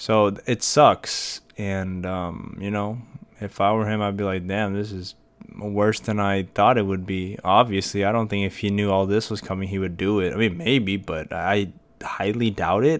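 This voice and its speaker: A plain, everyday voice moves at a fairly slow pace with fairly even intonation. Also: man, fairly low pitch for a man. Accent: American. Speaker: podcast host. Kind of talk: casual solo podcast monologue. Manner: casual, many fillers and repetitions.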